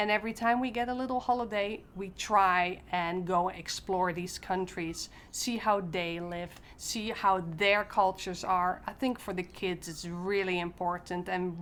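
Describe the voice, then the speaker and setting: A medium-pitched woman with a Dutch accent, ordinary pitch variation and a fairly slow pace. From Netherlands. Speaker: expat parent. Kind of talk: casual talk to camera.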